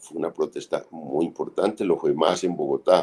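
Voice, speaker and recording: A man at a fairly slow pace. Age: 60s. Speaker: political analyst and writer. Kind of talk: interview. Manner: halting.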